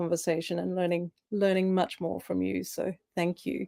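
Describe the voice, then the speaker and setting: A woman with an Australian accent has a dark, mellow tone and fairly low pitch. The recording is very clean with a silent background. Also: dry, close sound with no echo. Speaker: coach. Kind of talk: panel discussion. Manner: halting.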